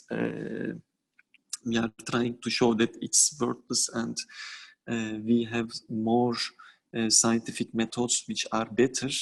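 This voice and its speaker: Speaking at a medium pitch with monotone, flat intonation, a man goes at a very slow pace with long, frequent pauses. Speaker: physician and animal rights activist. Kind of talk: conference talk. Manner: halting.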